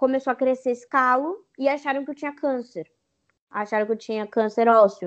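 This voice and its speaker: A woman's high voice with ordinary pitch variation. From Brazil, São Paulo (East Zone). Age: 20s. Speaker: digital influencer. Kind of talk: interview.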